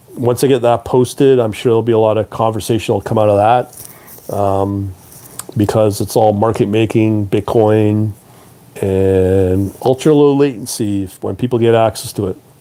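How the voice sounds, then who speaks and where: Over noticeable background noise, a speaker with a Canadian accent talks at a moderate pace with fairly even intonation. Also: man, fairly low pitch for a man. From Canada (Toronto). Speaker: trading educator and live streamer. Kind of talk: live stream talk to viewers. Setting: live stream. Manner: hesitant, many fillers.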